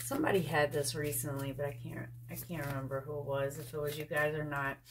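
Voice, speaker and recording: A woman speaks very fast with a very deep, low pitch. Her intonation is monotone and flat, over light background noise. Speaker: tarot reader. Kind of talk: tarot reading commentary. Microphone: phone near.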